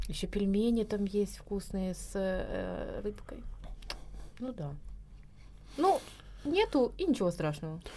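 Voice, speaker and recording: Long, frequent pauses in a woman's very slow speech. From southern Russia, Krasnodar region. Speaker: emigrant, guest. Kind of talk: casual chat. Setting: studio.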